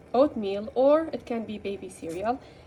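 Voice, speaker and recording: A woman speaks in a high pitch with a non-native accent. Her tone is dark and mellow, and her pitch varies in an ordinary way. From Middle East. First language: not English. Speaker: rabbit care video maker. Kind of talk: tutorial. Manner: halting, with fillers.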